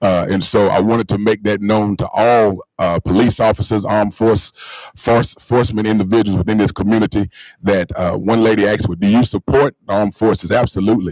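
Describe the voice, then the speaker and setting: A man with a North Carolina accent, fairly low in pitch and fairly quick in pace, recorded dry and close with no echo. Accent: Southern US (North Carolina). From North Carolina (Marshville). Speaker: school board member and pastor. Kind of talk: public meeting remarks. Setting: board meeting. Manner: fast when excited.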